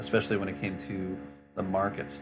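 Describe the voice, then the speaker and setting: With music in the background, a man speaks at a moderate pace in a very deep, low voice. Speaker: political commentary YouTuber. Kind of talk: casual reaction commentary to camera. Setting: travel setup, poor microphone.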